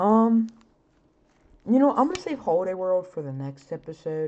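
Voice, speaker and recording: The woman's tone is dark and mellow, at a medium pitch. She speaks at a moderate pace. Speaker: podcast host. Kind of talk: casual monologue about roller coasters. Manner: filler-heavy, casual.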